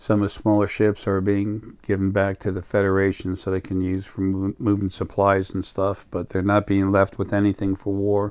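The man speaks at a moderate pace and a fairly low pitch, with monotone, flat intonation and hardly any pauses. The sound is dry with no echo, over a quiet background. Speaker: spiritual channel vlogger. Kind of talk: casual vlog chat. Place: home room. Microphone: lapel.

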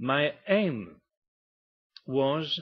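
A man with a French accent and very wide pitch swings. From Morocco, then France. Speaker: artist. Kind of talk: presentation talk.

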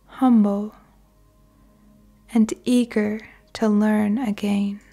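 Over music in the background, a woman speaks at a very slow pace in a calm, soothing tone, her fairly high voice flat and monotone. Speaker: meditation guide. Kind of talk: guided meditation / sleep visualization. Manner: slow, calm, soothing.

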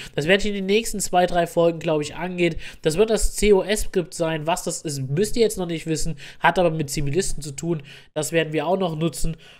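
Very fast speech from a high-pitched man with fairly even intonation. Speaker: gaming YouTuber. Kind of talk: tutorial.

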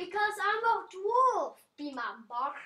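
The speaker uses a put-on character voice with an extremely high pitch.

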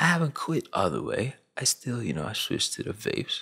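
The background is quiet. A man talks at a moderate pace. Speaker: YouTube commentator. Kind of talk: casual, street slang. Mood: earnest, reflective. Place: home room. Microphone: studio mic.

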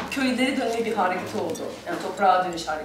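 Over loud background music and with audible room echo, a woman speaks with a non-native accent. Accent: non-native Turkish. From France. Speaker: storyteller. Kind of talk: interview answer. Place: home room.

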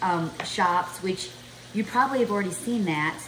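Ordinary pitch variation and a moderate pace from a woman, with light background noise behind. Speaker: home cook vlogger. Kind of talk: cooking tutorial chat. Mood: cheerful, excited. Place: kitchen. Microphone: camera far.

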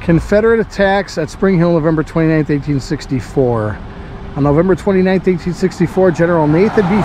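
The pitch varies in an ordinary way, and the pace is moderate. The sound is dry with no echo, and background noise is noticeable. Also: man. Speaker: travel vlogger. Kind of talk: casual vlog chat, reading a marker aloud. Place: open country. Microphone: phone near.

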